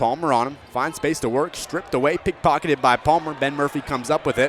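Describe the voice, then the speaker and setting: Over noticeable background noise, a man with a fairly high voice talks at a fairly quick pace. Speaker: sports broadcaster. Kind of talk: radio basketball play-by-play.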